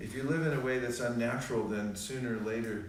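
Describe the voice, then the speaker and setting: Noticeable background noise and audible room echo fill the clip. A man speaks at a fairly quick pace and medium pitch. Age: 60s. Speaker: spiritual teacher. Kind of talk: religious talk. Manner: conversational.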